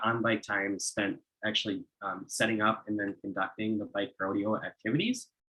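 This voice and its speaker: This man's voice sits fairly low in pitch. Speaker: bike education trainer. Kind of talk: presentation on a video call. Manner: fast; hesitant, many fillers.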